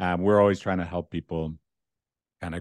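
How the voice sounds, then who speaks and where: Against a quiet background, a man speaks at a very deep, low pitch, with a dry, close sound and no echo. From Dublin, Ireland. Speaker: couples therapist. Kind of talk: casual interview. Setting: video call.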